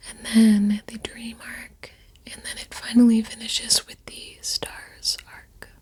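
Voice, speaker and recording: Whispering at a fairly slow pace against noticeable background noise. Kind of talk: soft-spoken ASMR chitchat ramble about a favorite anime. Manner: soft-spoken, rambling, conversational.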